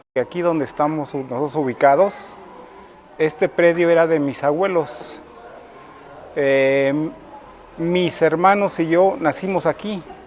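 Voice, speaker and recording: A man's fairly high voice at a fairly slow pace, with long, frequent pauses and noticeable background noise. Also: ordinary pitch variation. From Cuernavaca, Morelos, Mexico. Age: 60s. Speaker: local resident interviewee. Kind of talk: interview testimony. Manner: hesitant, with filler words.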